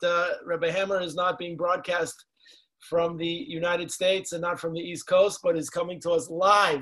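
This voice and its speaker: Against a quiet background, a man speaks at a moderate pace. His pitch is high. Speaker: program host introducing a speaker. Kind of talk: formal introduction. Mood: warm, celebratory. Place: home room. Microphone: video call.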